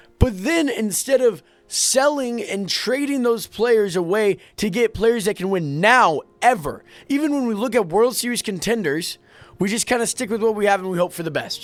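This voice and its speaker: A man speaks loudly at a moderate pace with a high pitch. His tone is animated and his intonation lively. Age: 20s. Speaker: sports vlogger. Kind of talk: sports rant.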